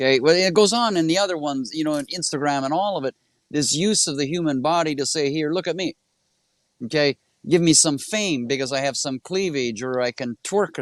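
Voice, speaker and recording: Here is a man with a normal speaking voice, fairly high in pitch, whose intonation is lively and whose pace is fairly quick. The sound is dry and close with no echo, against a quiet background. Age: 60s. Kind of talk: casual chat. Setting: live stream.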